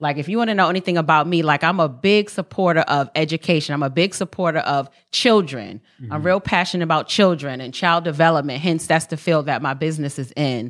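In a very clean recording with a silent background, a woman with an American accent speaks very fast with hardly any pauses, her very deep, low voice showing ordinary pitch variation. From Harlem, New York. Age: 40s. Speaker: podcast host. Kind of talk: casual chat.

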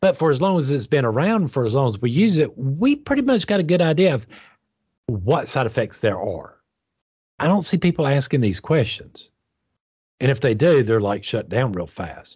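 Very wide pitch swings from a somewhat breathy man, delivered at a moderate pace. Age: 50s. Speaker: podcast co-host discussing spirituality. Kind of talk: casual chat.

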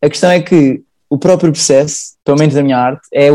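A man's fairly high, dark, mellow voice in a Lisbon accent, at a very fast pace with ordinary pitch variation. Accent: European Portuguese, Lisbon area. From Portugal, Sintra. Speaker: painter and engineering graduate. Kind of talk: casual interview.

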